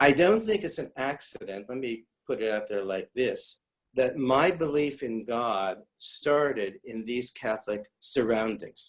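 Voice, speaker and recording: Here is a man with an unremarkable speaking voice at a medium pitch. He speaks at a fairly slow pace with lively intonation. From US Midwest, St. Louis, Missouri. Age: 60s. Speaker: rabbi. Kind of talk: lecture.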